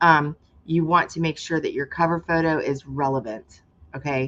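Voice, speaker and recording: An animated woman with an American accent and a very deep, low pitch, with ordinary pitch variation. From Florida. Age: 50s. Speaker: online marketing coach. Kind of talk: live stream tutorial. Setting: live video stream. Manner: fast.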